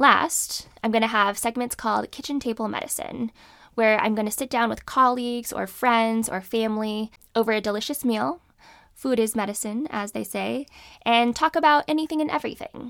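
On a very clean recording with a silent background, a woman with an American accent speaks at a fairly quick pace, fairly high in pitch with ordinary pitch variation, in a normal speaking voice. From California. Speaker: physician and podcast host. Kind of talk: solo podcast monologue on medicine.

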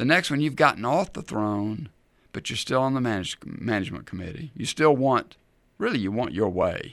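Lively intonation runs through the speech of a man with an unremarkable speaking voice. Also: very clean recording, silent background. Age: 60s. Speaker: radio ministry host and Bible teacher. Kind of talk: radio Bible teaching.

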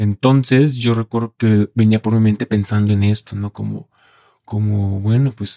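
A man speaks in a fairly low pitch with a dark, mellow tone and fairly even intonation. The sound is dry and close, with no echo. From Mexico, Colima. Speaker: male sex worker. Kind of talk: interview testimony. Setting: studio.

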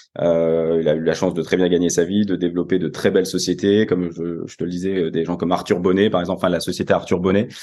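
A man's very deep, low, monotone voice at a very fast pace with hardly any pauses. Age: 20s. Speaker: business executive. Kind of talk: interview.

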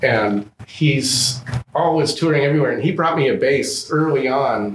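At a very slow pace, a man with an American accent speaks in a somewhat breathy voice with a fairly high pitch. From Southern California. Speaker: double bass player and luthier. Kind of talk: casual interview chat. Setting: music store showroom.

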